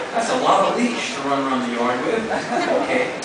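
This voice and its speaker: Amid loud background noise, a man speaks with audible room echo. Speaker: spoken word performer. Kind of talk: live spoken word performance to an audience. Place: stage. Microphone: pa.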